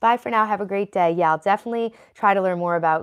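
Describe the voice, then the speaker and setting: A woman with a New York accent talks at a very fast pace in an animated tone. Her pitch varies in an ordinary way against a quiet background. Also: dry, close sound with no echo. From New York, Italian-American. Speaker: livestreamer. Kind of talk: casual livestream chat.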